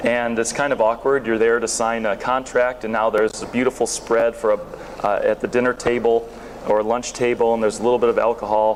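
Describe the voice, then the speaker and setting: A man at a medium pitch and fairly quick pace, with an American accent, flat monotone intonation and very even loudness, over noticeable background noise. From northern US near Canada. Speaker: sourcing company owner and conference speaker. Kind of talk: conference presentation. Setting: stage with audience. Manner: casual, with many fillers and repetitions.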